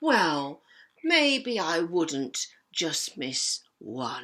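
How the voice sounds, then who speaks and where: A woman puts on a character voice with a fairly low pitch and very wide pitch swings. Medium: read story. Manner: hesitant, stammering.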